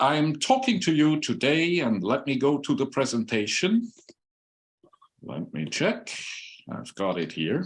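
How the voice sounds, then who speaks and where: A man with a Swiss accent and a fairly high pitch speaks at a fairly slow pace with vocal fry, very wide pitch swings, and long, frequent pauses. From Switzerland. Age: 60s. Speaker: human biologist and former airline pilot. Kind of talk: conference presentation.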